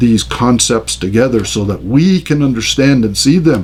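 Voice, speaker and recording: With vocal fry and lively intonation, the speech moves at a moderate pace amid audible room echo. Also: man. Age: 60s. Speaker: pastor. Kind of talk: lecture. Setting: recorded on camera.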